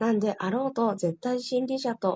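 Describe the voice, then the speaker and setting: Her fairly high voice is somewhat breathy, with ordinary pitch variation. The woman talks at a moderate pace in a dry, close sound with no echo. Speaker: study group participant. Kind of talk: reading aloud. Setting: online group voice room. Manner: polite.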